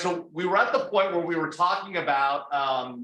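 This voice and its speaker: Loudly, a man with a high pitch talks with ordinary pitch variation. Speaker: national security institute director, moderator. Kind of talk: fireside chat interview. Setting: room with audience, also streamed on Zoom.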